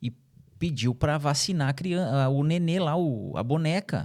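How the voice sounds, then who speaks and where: A man speaks with a fairly high pitch and a dark, mellow tone. The recording is very clean, the background silent. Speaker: journalist and podcast host. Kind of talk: podcast discussion.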